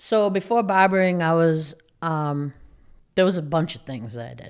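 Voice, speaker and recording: A fairly low-pitched woman with a strong Boston accent, at a moderate pace, with big swings in loudness. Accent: thick Boston-area. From Massachusetts, Lawrence (Boston area). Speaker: barber and educator. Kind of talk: casual podcast interview. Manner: monotone.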